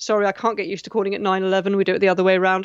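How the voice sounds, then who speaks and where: This is a woman speaking with a British accent. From England. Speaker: radio host. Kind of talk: radio dj patter. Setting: phone-in radio show. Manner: chatty, flustered, stammering.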